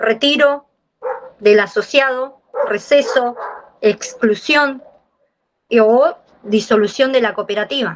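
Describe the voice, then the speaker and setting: A high-pitched woman speaks at a very slow pace with long, frequent pauses. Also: ordinary pitch variation. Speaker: course participant. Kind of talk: class discussion. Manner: colloquial.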